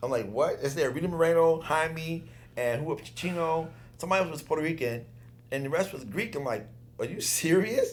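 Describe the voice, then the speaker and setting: A man's fairly high-pitched voice, animated in tone, with lively intonation, a fairly quick pace and audible room echo. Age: 60s. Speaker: former dancer. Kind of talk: casual chat.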